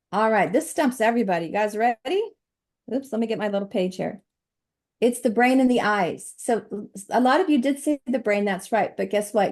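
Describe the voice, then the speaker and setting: A woman talks at a fairly quick pace in an animated tone, with ordinary pitch variation. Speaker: health coach. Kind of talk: presentation. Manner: fast.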